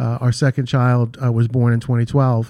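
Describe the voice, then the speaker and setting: In a very clean recording with a silent background, a man with an American accent and a dark, mellow tone talks at a moderate pace. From New York, Queens / Long Island. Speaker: real estate executive. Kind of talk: radio interview.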